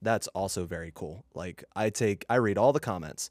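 A man with a plain, everyday voice and lively intonation, in a very clean recording with a silent background and a dry, close sound with no echo. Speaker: podcast co-host and editor. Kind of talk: casual chat. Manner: joking, laid back.

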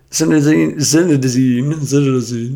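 With fairly even intonation, a man talks at a fairly high pitch. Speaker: football podcast host. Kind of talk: casual banter about football. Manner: chatty, storytelling.

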